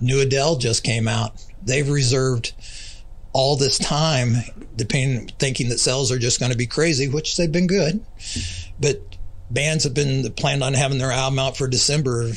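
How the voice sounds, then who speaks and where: A man with an American accent speaks at a medium pitch, somewhat breathy, with very even loudness. Long, frequent pauses break his speech, and audible room echo surrounds it. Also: fairly even intonation, moderate pace. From US Midwest (north central Missouri). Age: 60s. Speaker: record store owner. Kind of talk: casual interview chat.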